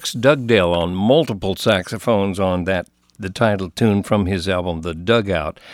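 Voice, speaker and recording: In an unremarkable speaking voice, a man speaks at a fairly low pitch with ordinary pitch variation and a moderate pace, on a very clean recording with a silent background. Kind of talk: radio announcer patter, back-announcing tracks and signing off the show.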